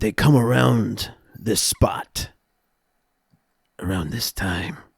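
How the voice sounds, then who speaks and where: In a put-on character voice, a man talks very slowly with a raspy, medium-pitched sound that is dry and close with no echo. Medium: actual play.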